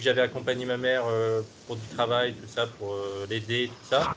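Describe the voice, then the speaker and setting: A man's medium-pitched voice, monotone and flat in intonation. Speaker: hypnosis client. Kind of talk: interview. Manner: halting.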